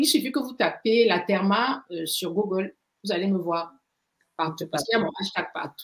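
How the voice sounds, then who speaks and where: With lively intonation, a woman speaks at a medium pitch and a moderate pace. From Cameroon. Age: 60s. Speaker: pharmacist and skincare activist. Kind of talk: interview. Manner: hesitant, many fillers.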